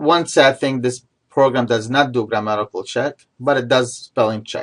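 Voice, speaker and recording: At a moderate pace, a man speaks at medium pitch. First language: not English (English is third language). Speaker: instructor. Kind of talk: tutorial. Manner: halting.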